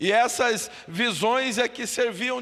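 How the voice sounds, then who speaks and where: Extremely high in pitch, a man speaks at a very slow pace with fairly even intonation. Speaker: pastor. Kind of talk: Bible study.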